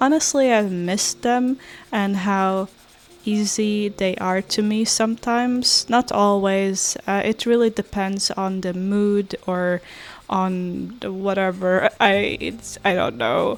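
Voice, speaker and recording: A woman with a non-native accent speaks very slowly at a medium pitch with ordinary pitch variation. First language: not English. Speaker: artist. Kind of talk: casual chat. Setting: kitchen at home. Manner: hesitant with many fillers.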